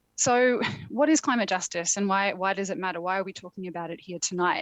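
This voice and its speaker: Very fast speech comes from a woman with an Australian accent at medium pitch. Her loudness swings widely. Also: ordinary pitch variation. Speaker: climate policy expert, keynote speaker. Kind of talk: keynote speech. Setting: remote video link from a conference venue, in a phone box.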